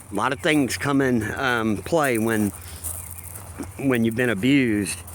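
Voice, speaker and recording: A man with a medium pitch talks at a very slow pace with long, frequent pauses, ordinary pitch variation and audible room echo. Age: 50s. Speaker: abuse survivor vlogger. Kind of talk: personal testimony to camera. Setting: outdoors at a dog park. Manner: casual, halting with fillers.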